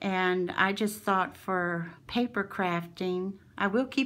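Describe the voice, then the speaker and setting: At a very slow pace, a woman speaks at medium pitch. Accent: American. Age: 60s. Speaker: crafting channel owner. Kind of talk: show-and-tell haul video. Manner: animated.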